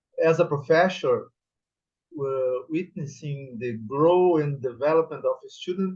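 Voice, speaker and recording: A man with a Portuguese accent, fairly high pitch, ordinary pitch variation and a fairly slow pace. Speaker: professor on thesis examining board. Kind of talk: formal evaluation speech at thesis defense. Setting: academic defense session. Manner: formal.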